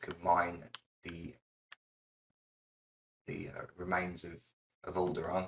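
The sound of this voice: A man speaks slowly in a low pitch with vocal fry. His intonation is monotone and flat.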